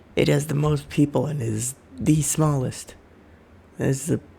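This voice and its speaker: The speaker sounds somewhat breathy, moving at a moderate pace with ordinary pitch variation. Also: man, long, frequent pauses. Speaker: worldbuilding video creator. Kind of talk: slideshow presentation. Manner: casual, hesitant.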